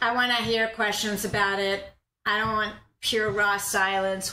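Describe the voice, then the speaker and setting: A woman's bright, sharp tone at a moderate pace, with audible room echo. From US Northeast (New York, Boston, Philadelphia). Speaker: university professor, historian of science. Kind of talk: lecture.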